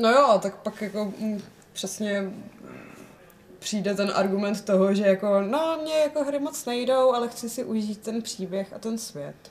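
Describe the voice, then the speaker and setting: Speaking at a fairly slow pace, a woman with an unremarkable speaking voice has a fairly high pitch and ordinary pitch variation. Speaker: podcast co-host. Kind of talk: casual chat.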